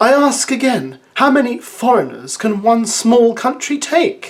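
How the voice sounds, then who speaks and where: In a put-on character voice, a female-sounding speaker pitches her voice high. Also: fairly slow pace. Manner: grumpy, disgruntled.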